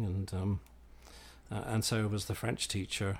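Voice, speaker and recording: On a very clean recording with a silent background, a man with a Northern Irish accent speaks at a moderate pace in a fairly low pitch with monotone, flat intonation. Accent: Northern Irish-English British. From Northern Ireland and England. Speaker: classics professor. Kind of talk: interview conversation.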